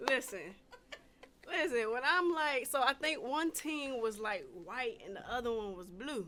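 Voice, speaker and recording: Speaking in an American accent, a woman projects a raised voice at a high pitch, with very wide pitch swings and a fairly slow pace. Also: big swings in loudness. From Washington DC, later North Carolina. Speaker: podcast host. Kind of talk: casual chat. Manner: animated storytelling.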